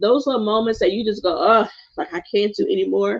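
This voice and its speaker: A woman speaks with an American accent and a warm, animated tone. Vocal fry runs through her voice. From US South, South Carolina (Gullah). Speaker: meditation coach. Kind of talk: livestream meditation intro. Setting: home sanctuary, live stream.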